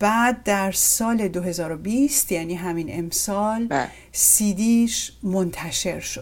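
A somewhat breathy woman's voice at a medium pitch, very slow yet with hardly any pauses, and ordinary pitch variation. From Iran. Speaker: podcast host. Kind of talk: interview.

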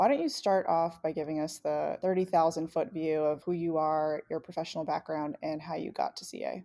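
A woman's dark, mellow tone with fairly even intonation and hardly any pauses. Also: fairly low pitch for a woman, moderate pace. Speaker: podcast co-host. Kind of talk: interview. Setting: studio.

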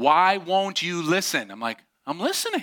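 A man speaks in a raised, projected voice with an animated tone. His pace is fairly slow. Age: 30s. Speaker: pastor. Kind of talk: sermon.

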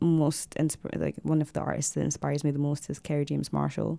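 This woman talks with a Glaswegian accent. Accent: Glaswegian Scottish. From Scotland, Glasgow. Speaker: visual artist and photographer. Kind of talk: casual interview. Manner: hesitant, many fillers.

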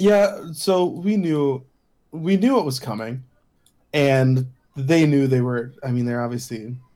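The tone is dark and mellow, with lively intonation. Delivery comes at a fairly slow pace. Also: man, fairly high pitch for a man. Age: 40s. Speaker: podcast co-host. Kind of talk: casual chat.

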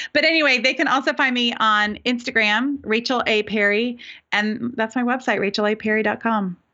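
An unremarkable speaking voice in an American accent, at a moderate pace and with very even loudness. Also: woman, fairly high pitch for a woman. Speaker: business coach. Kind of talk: casual interview chat.

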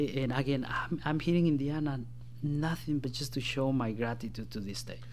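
A man speaks with a Spanish accent at a medium pitch. His pace is fairly quick, with ordinary pitch variation. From Guatemala. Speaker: political candidate and former government staffer. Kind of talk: radio interview.

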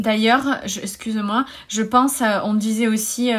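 Very slow speech from a woman, fairly high in pitch. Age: 30s. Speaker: wellness coach and yoga teacher. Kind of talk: interview. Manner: halting.

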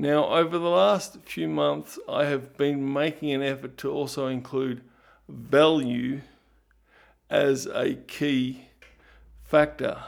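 Speaking at a very slow pace with long, frequent pauses, a man with an Australian accent is heard on a very clean recording with a silent background. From Australia, Ballarat, Victoria. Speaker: podcast host and producer. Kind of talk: podcast monologue.

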